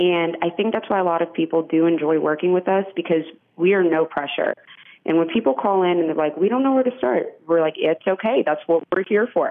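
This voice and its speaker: Talking at a fairly quick pace, a woman uses a plain, everyday voice with a fairly low pitch and ordinary pitch variation. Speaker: office manager. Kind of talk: radio interview. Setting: phone call.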